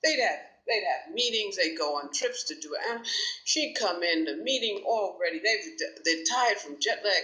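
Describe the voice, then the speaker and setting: Over noticeable background noise, a woman with an American accent talks at a moderate pace in a fairly high pitch that swings very widely. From New York City. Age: 60s. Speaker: talk show host and commentator. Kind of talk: monologue commentary. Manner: halting with fillers.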